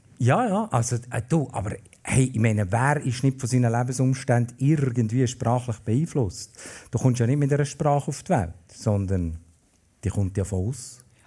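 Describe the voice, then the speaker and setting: In a Bernese accent, a man speaks at medium pitch and a moderate pace. His somewhat breathy voice has a dark, mellow tone and ordinary pitch variation. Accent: Bernese German dialect, kept. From Bern, Switzerland. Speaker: festival organizer and writer. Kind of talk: casual chat. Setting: stage with live audience.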